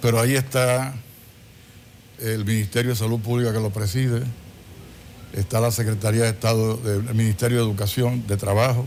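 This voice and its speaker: With long, frequent pauses, a man at medium pitch speaks at a moderate pace in a monotone, flat intonation. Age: 70s. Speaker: government official and physician. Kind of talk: TV interview.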